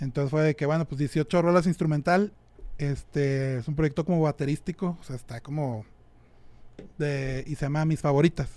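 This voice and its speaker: A man speaks at a moderate pace with a dark, mellow tone. His intonation is fairly even. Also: fairly high pitch for a man. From Monterrey, Mexico. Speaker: rock drummer. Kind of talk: casual chat.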